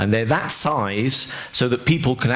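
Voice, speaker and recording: A man talks at a moderate pace while noticeable background noise and audible room echo surround his voice. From Europe. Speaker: tech company engineer presenter. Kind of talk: lecture. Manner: halting, many fillers.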